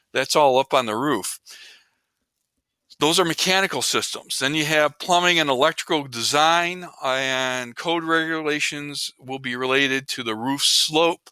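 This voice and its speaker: On a very clean recording with a silent background and a dry, close sound with no echo, a man with a fairly high pitch and a bright, sharp tone speaks at a fairly slow pace with ordinary pitch variation. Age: 60s. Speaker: teacher. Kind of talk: lecture. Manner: casual, conversational.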